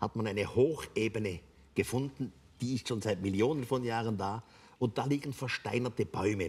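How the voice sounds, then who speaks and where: A man speaks in a somewhat breathy voice with ordinary pitch variation. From Switzerland. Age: 80s+. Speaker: author. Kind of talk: interview answer. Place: stage. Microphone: lapel.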